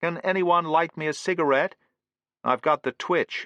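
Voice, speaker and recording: A put-on character voice at a moderate pace, fairly even in intonation, against a quiet background. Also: man, high pitch for a man. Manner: strained.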